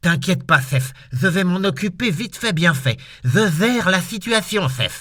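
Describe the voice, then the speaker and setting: A put-on character voice comes through at moderate speed. Behind it there is total silence in a very clean recording. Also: man, high pitch for a man. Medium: read story. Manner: lisping.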